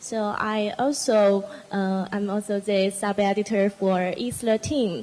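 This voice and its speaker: A woman speaks in a monotone, flat intonation with a Chinese accent. Noticeable background noise runs underneath. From China. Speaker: international student panelist. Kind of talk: panel talk.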